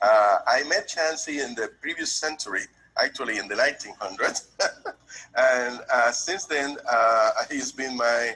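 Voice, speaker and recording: Speaking at a fairly slow pace, a man talks with a Puerto Rican accent. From Puerto Rico. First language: Spanish. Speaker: tax business owner, testimonial client. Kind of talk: testimonial.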